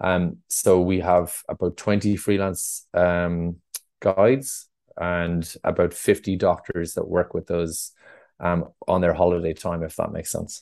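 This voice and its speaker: A man's very deep, low voice in an Irish accent, fairly slow and fairly even in intonation, over a quiet background. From Ireland, North Tipperary. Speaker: adventure travel company founder. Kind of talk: podcast interview. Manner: hesitant, many fillers.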